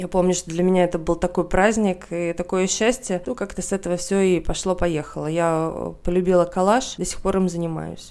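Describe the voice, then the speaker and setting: Her voice has a fairly low pitch and a dark, mellow tone. The woman keeps fairly even intonation at a moderate pace in a very clean recording with a silent background. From Russia. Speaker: journalist and art historian. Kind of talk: casual chat.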